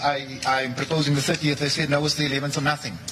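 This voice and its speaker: A man talks very fast with noticeable background noise in the recording. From South Africa, Cape Flats, Western Cape. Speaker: political party leader and witness. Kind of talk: news interview.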